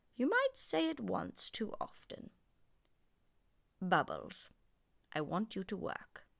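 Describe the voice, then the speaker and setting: Pausing long and often, a female-sounding voice performs a put-on character voice at a fairly slow pace. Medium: read story. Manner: stern, dryly teasing.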